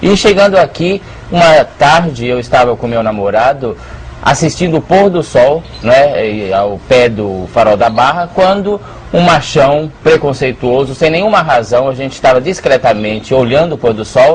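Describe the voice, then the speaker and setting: With lively intonation and a fairly high pitch, a man talks at a moderate pace amid noticeable background noise. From Brazil, São Paulo. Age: 60s. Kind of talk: interview.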